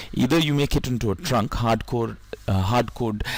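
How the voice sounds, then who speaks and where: A man talks at a medium pitch with lively intonation. Noticeable background noise sits behind him. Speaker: IT networking trainer. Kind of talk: tutorial. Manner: hesitant with many fillers.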